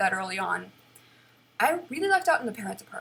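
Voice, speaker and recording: A woman talks with noticeable vocal fry. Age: 20s. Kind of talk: personal vlog monologue, unscripted. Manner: loud; halting, with many restarts and repeated words.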